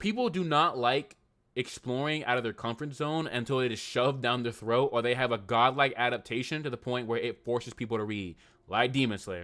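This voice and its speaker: This man has a medium pitch and an animated tone. His pitch varies in an ordinary way. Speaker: anime YouTuber streaming live. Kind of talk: casual livestream chat. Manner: fast.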